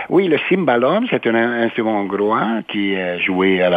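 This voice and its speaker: Speaking at a very slow pace with a Hungarian accent, a man with a fairly low pitch and ordinary pitch variation is heard over noticeable background noise. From Hungary, Budapest. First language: Hungarian (speaking French). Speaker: university president. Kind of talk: interview. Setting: studio.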